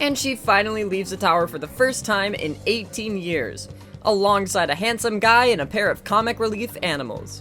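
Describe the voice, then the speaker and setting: Music plays in the background as a woman with a Midwestern accent speaks at a moderate pace and medium pitch with lively intonation. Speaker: film reviewer, video narrator. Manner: casual, comedic narration.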